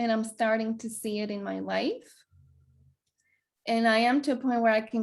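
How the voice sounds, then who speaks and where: A woman's fairly high voice with a Greek accent. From Greece. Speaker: wellness coach. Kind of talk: interview conversation. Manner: hesitant, many fillers.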